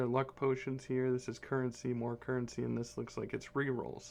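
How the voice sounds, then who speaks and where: A man's medium-pitched voice at a fairly quick pace, in monotone, flat intonation. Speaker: gaming YouTuber. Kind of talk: game commentary. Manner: fast; casual, rambling.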